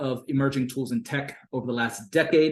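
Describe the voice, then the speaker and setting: With an American accent, a man speaks at a fairly high pitch and a moderate pace, his pitch varying in an ordinary way. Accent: Americanized. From Bangladesh (raised abroad; born Fiji, Pacific Islander heritage). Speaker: consultant and business coach. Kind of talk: online workshop presentation. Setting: video call. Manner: frequent fillers and hesitations.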